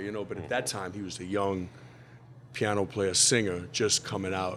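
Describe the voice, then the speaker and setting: A man speaks with a New Orleans accent. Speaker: musician. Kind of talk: interview answer.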